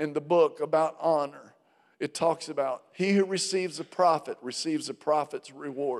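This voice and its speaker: At a moderate pace, a man talks in a plain, everyday voice, fairly high in pitch with ordinary pitch variation. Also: very clean recording, silent background. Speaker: pastor. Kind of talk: sermon introduction and closing blessing. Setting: church.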